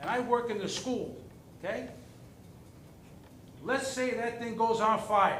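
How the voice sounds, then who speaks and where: A man speaks at an extremely high pitch in an animated tone, at a fairly slow pace with long, frequent pauses. The recording carries audible room echo and noticeable background noise. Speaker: resident speaking at public comment. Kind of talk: public comment at town board meeting. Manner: animated, emphatic.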